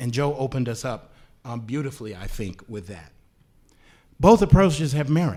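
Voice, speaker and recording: With an American accent, a man speaks at a moderate pace and a medium pitch. His somewhat breathy voice has a dark, mellow tone and lively intonation. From US South (Louisiana, Virginia). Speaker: panelist. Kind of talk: panel discussion.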